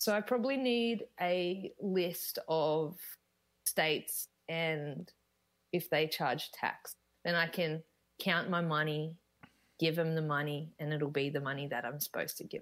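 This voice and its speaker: With an Australian accent, a woman speaks fairly slowly at a fairly low pitch with ordinary pitch variation. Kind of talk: casual interview chat. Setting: video call.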